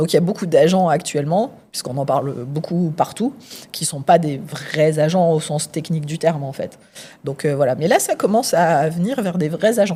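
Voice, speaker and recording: Her voice is somewhat breathy and fairly low in pitch, moving at a moderate pace. This woman's intonation is lively. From France. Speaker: AI researcher. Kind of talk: casual interview. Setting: recorded at a conference in Las Vegas.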